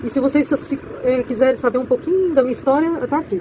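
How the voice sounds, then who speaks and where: Noticeable background noise sits behind a woman who speaks at a fairly quick pace with a high pitch and ordinary pitch variation. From Brazil, rural farm upbringing. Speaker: author and content creator. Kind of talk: casual monologue promoting her book. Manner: halting, with false starts.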